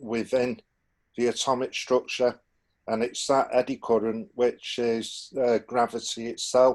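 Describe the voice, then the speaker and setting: Speaking at a fairly slow pace, a man with a medium-pitched voice talks in a Manchester accent. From northern England, Manchester. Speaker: alternative propulsion researcher. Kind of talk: technical explanation on group call. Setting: Zoom video call. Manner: halting, many fillers.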